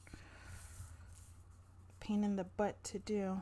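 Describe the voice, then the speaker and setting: A woman mumbles. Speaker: crafting youtuber. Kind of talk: tutorial. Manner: mumbling.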